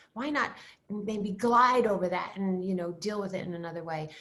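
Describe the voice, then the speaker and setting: The medium-pitched voice of a woman carries ordinary pitch variation and audible room echo. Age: 70s. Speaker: style expert. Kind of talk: interview. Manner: animated.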